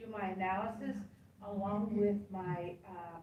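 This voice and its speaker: A woman speaks at a fairly slow pace, with noticeable background noise and audible room echo. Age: 60s. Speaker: survivor data collector. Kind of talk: audience question at panel.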